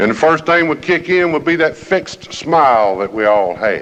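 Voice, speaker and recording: At a moderate pace, a man with an American accent speaks with very wide pitch swings amid noticeable background noise. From US South, Alabama (Jefferson County). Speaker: recovery program speaker. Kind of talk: recovery meeting talk.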